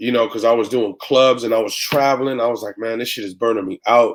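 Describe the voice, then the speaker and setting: A man with an American accent and a plain, everyday voice talks fairly quickly at a medium pitch with fairly even intonation. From San Francisco Bay Area, California. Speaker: radio and club DJ. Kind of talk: interview answer.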